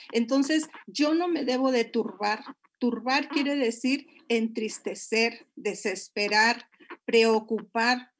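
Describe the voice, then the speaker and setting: A woman talks at a very slow pace. Her pitch sits high. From Monterrey, Mexico. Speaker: pastor. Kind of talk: sermon-style marriage talk.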